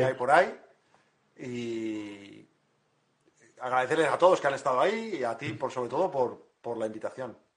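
Here is a man with an ordinary speaking voice. His pitch is medium. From Madrid, Spain. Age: 40s. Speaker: woodworker. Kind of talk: casual interview. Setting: online live stream.

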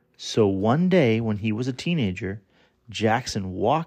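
At a fairly slow pace, the voice has a dramatic, warm tone over a quiet background. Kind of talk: children's story audiobook narration, scripted and read aloud. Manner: warm, animated storyteller with playful, wry emphasis on the jokes; clear, steady, measured pacing with dramatic build at reveals.

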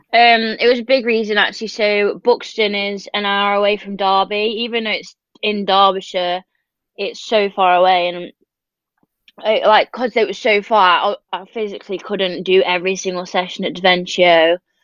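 A woman speaks with a Peak District accent. Her intonation stays fairly even. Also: medium pitch for a woman, moderate pace. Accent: northern English, Peak District. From northern England. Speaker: professional swimmer. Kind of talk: casual interview chat.

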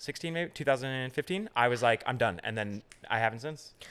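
On a very clean recording with a silent background, a man with an American accent speaks in a bright, sharp tone with ordinary pitch variation. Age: 30s. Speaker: production assistant and comedy host. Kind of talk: casual chat.

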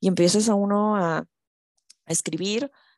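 A woman at medium pitch is heard with a dry, close sound with no echo and a quiet background. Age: 20s. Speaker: podcast host. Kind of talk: casual solo monologue. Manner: hesitant, many fillers.

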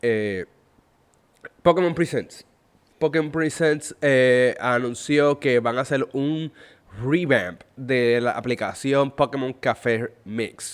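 The recording is very clean and the background silent. A man speaks in it very slowly. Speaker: gaming podcast host. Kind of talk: solo podcast commentary. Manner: halting with many fillers.

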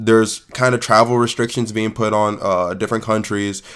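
Animated in tone, a man with an American accent speaks at a moderate pace and fairly low pitch. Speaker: podcast co-host. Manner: animated, casual, profane.

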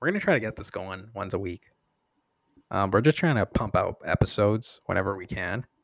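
Vocal fry runs through a man's fairly low-pitched voice, which moves at a moderate pace with ordinary pitch variation and has a dry, close sound with no echo. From Canada. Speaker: podcast host. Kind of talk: casual chat.

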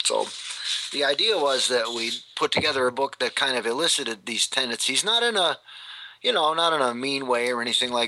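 Against noticeable background noise, a man at medium pitch talks at a fairly quick pace. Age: 40s. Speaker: author and English professor. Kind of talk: interview. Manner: halting, repeats words.

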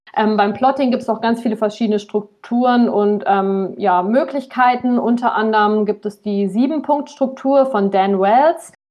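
At a moderate pace, a woman with a fairly high pitch speaks in an unremarkable speaking voice. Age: 20s. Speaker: aspiring author. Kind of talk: casual interview chat.

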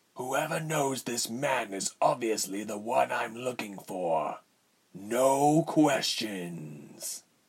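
A man's raspy put-on character voice, medium pitch, very slow pace, lively intonation. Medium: read story. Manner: bored, cold, contemptuous.

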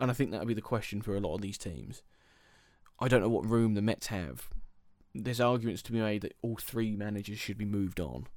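With a southern English accent, a man talks at a very fast pace. His pitch is fairly low, with ordinary variation. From England, Milton Keynes. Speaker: baseball podcast host. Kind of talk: solo podcast commentary. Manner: animated.

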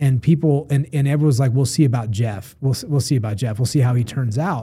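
His voice is fairly high in pitch for a man, with a dark, mellow tone. He sounds somewhat breathy and uses ordinary pitch variation. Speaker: podcast host. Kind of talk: casual interview chat. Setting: studio.

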